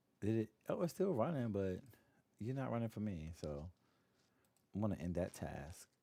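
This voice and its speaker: A man speaks quietly in a dark, mellow tone with lively intonation. His speech has long, frequent pauses. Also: fairly low pitch for a man, moderate pace. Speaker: gaming streamer. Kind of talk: casual live stream chat. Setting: home, early morning stream. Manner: quiet, hushed.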